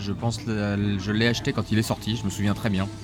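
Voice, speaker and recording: Music plays in the background. A man talks at a fairly quick pace with fairly even intonation. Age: 40s. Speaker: manga publisher. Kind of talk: interview. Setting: live in a record store. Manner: hesitant, many fillers.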